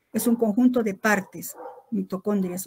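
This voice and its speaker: A woman speaks at a fairly slow pace in a somewhat breathy voice with ordinary pitch variation. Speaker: biochemistry lecturer. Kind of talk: lecture.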